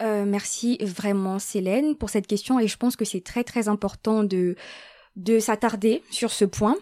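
This woman has a fairly high pitch and a dark, mellow tone, talking at a fairly slow pace with fairly even intonation in a very clean, dry, close recording with a silent background and no echo. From Gabon. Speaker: student. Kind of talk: interview.

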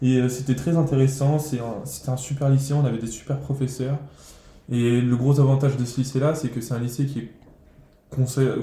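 A man speaks in a dark, mellow, somewhat breathy tone with monotone, flat intonation. Long, frequent pauses break his speech, and audible room echo surrounds it. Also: medium pitch for a man, moderate pace. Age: 20s. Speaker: cook. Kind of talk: interview. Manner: halting.

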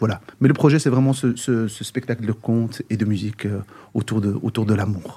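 A man with a dark, mellow tone and a somewhat breathy medium-pitched voice talks at a fairly quick pace. He leaves long, frequent pauses, and his pitch varies in an ordinary way. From Brussels, Belgium (Moroccan parents). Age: 50s. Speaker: singer and musician. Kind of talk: interview.

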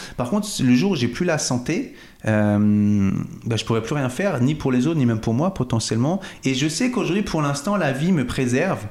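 Audible room echo surrounds a man of medium pitch who speaks at a moderate pace with lively intonation. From Paris suburbs, Val-de-Marne. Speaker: real estate agent. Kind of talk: interview. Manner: animated.

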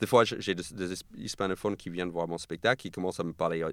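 Over a very clean recording with a silent background, a man with an American accent talks at a fairly quick pace in a very deep, low pitch with vocal fry. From US, New York, Argentine parents. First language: English (speaking French). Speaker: comedian. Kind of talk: casual chat. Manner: halting.

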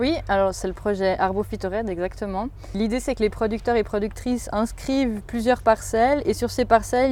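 A woman's fairly high voice with a dark, mellow tone, fairly even intonation and moderate pace. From Switzerland, Valais (Saillon). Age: 20s. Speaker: agronomist. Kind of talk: interview. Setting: outdoors in an orchard.

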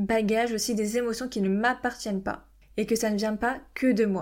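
A normal speaking voice at a moderate pace with ordinary pitch variation, on a very clean recording with a silent background. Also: woman. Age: 20s. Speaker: podcast host, parenting coach. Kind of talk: solo podcast monologue.

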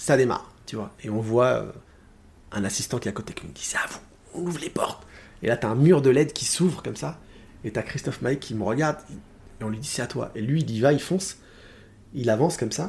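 A somewhat breathy man at a medium pitch, with lively intonation, a fairly quick pace, long, frequent pauses and big swings in loudness. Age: 40s. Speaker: musical theatre singer. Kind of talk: casual chat. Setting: at home.

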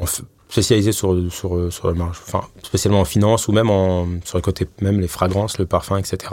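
A man's very deep, low voice at a fairly quick pace, flat and monotone in intonation. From Paris, France. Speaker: head of data and AI at a bank. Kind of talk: interview. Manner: hesitant, many fillers.

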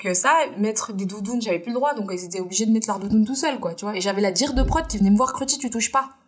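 A woman's fairly high voice races at a very fast pace with ordinary pitch variation while noticeable background noise continues. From France, Indian family. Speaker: costume dresser. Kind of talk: casual interview chat.

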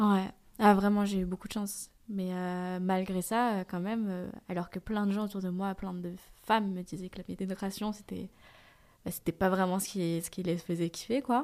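A woman with a normal speaking voice, a medium pitch, a moderate pace, and fairly even intonation. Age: 20s. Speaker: interviewee sharing testimony. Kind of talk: testimony.

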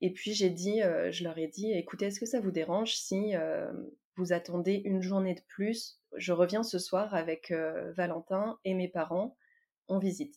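The speaker keeps a fairly slow pace. The recording is very clean, with a silent background. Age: 30s. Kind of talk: casual interview. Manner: hesitant, many fillers.

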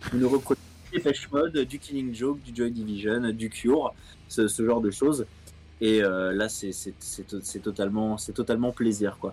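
Over music in the background, the speaker keeps a moderate pace with ordinary pitch variation. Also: man, medium pitch for a man. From France, Seine-et-Marne (77). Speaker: music journalist. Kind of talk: interview. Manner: halting, many repetitions.

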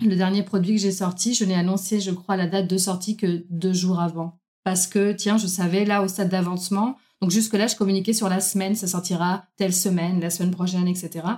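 A woman's somewhat breathy, dark and mellow voice at medium pitch, fairly quick and monotone, with very even loudness. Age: 30s. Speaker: self-employed entrepreneur and coach. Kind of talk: casual interview conversation.

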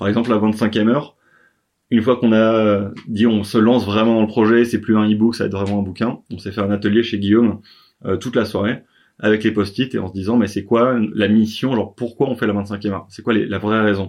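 A man with a fairly low voice speaks fairly quickly in a monotone, flat delivery. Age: 30s. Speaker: author, entrepreneur. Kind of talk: interview. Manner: hesitant, many fillers.

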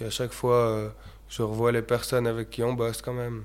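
Flat, monotone intonation from a man at medium pitch. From Switzerland, Valais (Chablais). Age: 20s. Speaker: entrepreneur. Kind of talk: casual interview. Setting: company workshop.

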